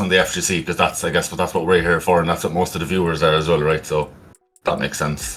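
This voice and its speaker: A man with an Irish accent talks at a very fast pace over music in the background. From Ireland. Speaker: esports commentator. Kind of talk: casual interview.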